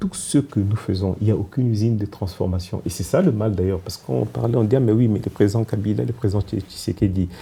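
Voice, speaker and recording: Here a man with a fairly low, dark and mellow voice speaks at a fairly quick pace. His delivery is somewhat breathy, with lively intonation. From DR Congo. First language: Kikongo (speaking French). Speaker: politician and former diplomat. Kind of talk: TV interview. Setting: TV studio. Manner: halting.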